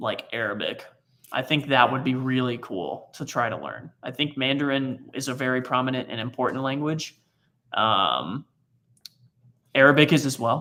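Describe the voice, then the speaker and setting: A man's medium-pitched voice with a slight Texan accent, bright and sharp in tone, fairly even in intonation, moderate in pace with long, frequent pauses, on a very clean recording with a silent background. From Texas. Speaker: travel vlogger. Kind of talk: casual chat. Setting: livestream on a laptop. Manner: halting. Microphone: laptop mic.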